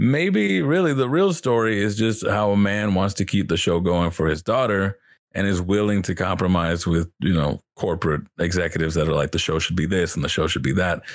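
Very even in loudness, a man's fairly low, unremarkable speaking voice moves at a fairly quick pace with lively intonation. The recording is very clean, with a silent background. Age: 20s. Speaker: guest, streamer. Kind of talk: casual chat.

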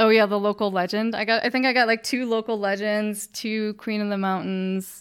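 With an American accent, the speaker talks in a flat monotone and hardly pauses at all. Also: woman, fairly high pitch for a woman, moderate pace. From northwest Illinois, US Midwest. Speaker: amateur cyclist and fundraiser. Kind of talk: casual interview.

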